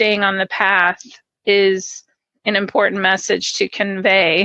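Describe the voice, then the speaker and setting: In an American accent, a woman speaks at a medium pitch with a bright, sharp tone, the sound dry and close with no echo against a quiet background. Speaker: registered dietitian and podcast host. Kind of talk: podcast interview host.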